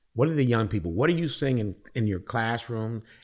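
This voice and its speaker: Very wide swings in pitch from a male speaker with an American accent. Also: very clean recording, silent background. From Illinois, Joliet. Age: 50s. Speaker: diversity coordinator and community volunteer. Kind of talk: casual podcast conversation.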